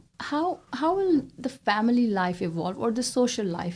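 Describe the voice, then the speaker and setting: Dark and mellow in tone, the somewhat breathy voice of a woman. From Israel. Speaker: interviewer. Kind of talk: interview. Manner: halting.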